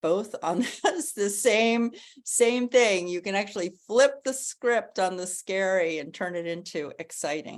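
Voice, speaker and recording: An unremarkable speaking voice moves at a fairly slow pace with hardly any pauses. Its loudness swings a lot over a quiet background. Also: woman, medium pitch for a woman, lively intonation. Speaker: author, writing coach and women's speaker. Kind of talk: motivational talk to an online women's gathering.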